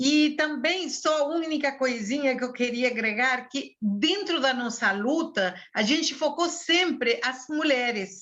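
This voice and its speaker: Her voice high and her tone bright and sharp, a woman speaks at a fairly slow pace with lively intonation. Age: 60s. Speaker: participant, feminist. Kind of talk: online discussion circle.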